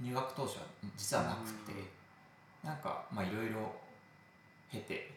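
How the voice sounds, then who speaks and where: A man's medium-pitched voice at a moderate pace, with ordinary pitch variation, long, frequent pauses, audible room echo and noticeable background noise. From provincial Japan. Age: 20s. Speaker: office worker. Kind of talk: casual interview chat.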